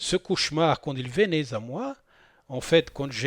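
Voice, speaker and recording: A man's fairly high voice at a fairly slow pace, with a non-native accent, in a very clean, dry, close recording with no echo and a silent background. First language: not French (speaking French). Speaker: spiritual channel host. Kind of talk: spoken monologue on spirituality. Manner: hesitant, many fillers and repetitions.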